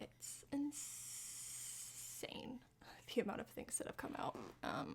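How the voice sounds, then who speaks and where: A woman whispers at a very slow pace. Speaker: streamer and makeup vlogger. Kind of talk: casual chat. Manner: chatty, with frequent fillers.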